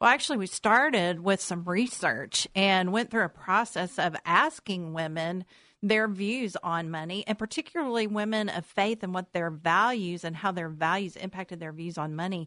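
A woman's bright, sharp tone comes with hardly any pauses and ordinary pitch variation. The sound is dry and close with no echo over a quiet background. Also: medium pitch for a woman, moderate pace. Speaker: financial counselor. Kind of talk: radio interview. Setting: radio studio.

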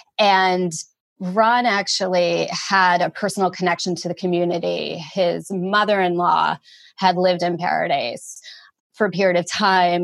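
In a plain, everyday voice, a woman speaks at a moderate pace with a medium pitch and fairly even intonation. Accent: American. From northern New Jersey, US. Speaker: documentary producer. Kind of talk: interview. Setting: remote call.

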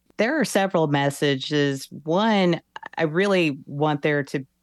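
Ordinary pitch variation marks a woman speaking with an American accent. The recording is very clean, with a silent background and a dry, close sound with no echo. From Texas, US South. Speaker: author and sports journalist. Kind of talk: interview.

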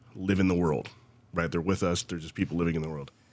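Male speaker with an American accent. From Ohio, US. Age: 30s. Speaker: dancer and choreographer. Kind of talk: interview. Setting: video call.

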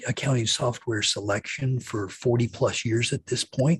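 A somewhat breathy voice with an American accent at a moderate pace, dry and close with no echo. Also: man. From Kansas. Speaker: technology consultant and webinar host. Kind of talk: webinar discussion.

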